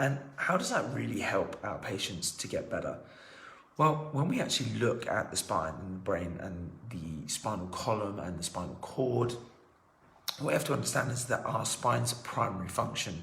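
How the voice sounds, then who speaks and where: A man talks at a moderate pace in a fairly low voice with very wide pitch swings. There is audible room echo and noticeable background noise. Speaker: chiropractor. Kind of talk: health explainer video.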